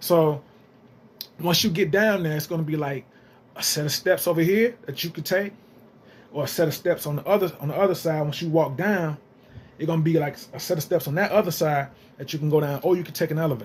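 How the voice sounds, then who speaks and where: A man talks at a very fast pace in an animated tone, breaking often with long pauses. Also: fairly high pitch for a man, ordinary pitch variation. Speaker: gaming YouTuber. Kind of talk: casual vlog commentary.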